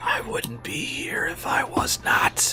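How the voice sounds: A man whispering in a raspy, put-on character voice at a fairly slow pace.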